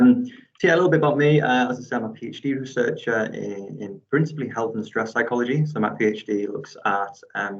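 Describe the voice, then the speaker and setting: With a northeast English accent, the speaker moves at a fairly quick pace with hardly any pauses and ordinary pitch variation. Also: man, medium pitch for a man. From northeast England. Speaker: PhD researcher and football referee. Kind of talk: academic seminar talk. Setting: video call.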